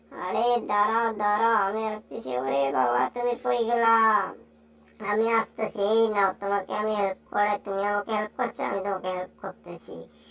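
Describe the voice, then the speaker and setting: A woman puts on a character voice at medium pitch. She keeps a moderate pace. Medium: fan dub.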